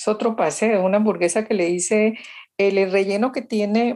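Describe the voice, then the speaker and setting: Fairly even intonation runs through speech with a dark, mellow tone. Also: woman. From Colombia, Valle del Cauca. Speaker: chef and cookbook author. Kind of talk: interview. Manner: halting, with many repetitions.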